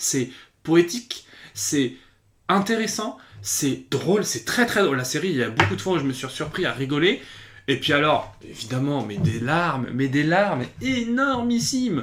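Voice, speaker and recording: Speaking at a fairly slow pace, a man with a fairly high pitch uses an animated tone and very wide pitch swings. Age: 20s. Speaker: YouTube series reviewer. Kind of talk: casual video review. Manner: hesitant, many fillers and repetitions.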